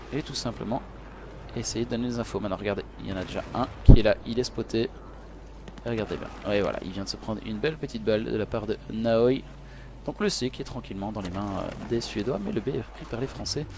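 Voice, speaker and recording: Talking at a fairly quick pace, a man leaves long, frequent pauses. There is noticeable background noise. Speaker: esports commentator. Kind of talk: live commentary. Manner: animated.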